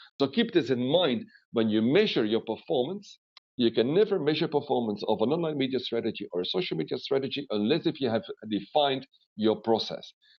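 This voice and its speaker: Pitch swings very widely as a man speaks at a fairly quick pace and a medium pitch, with a Flemish accent. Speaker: webinar trainer. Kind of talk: webinar lecture. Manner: animated.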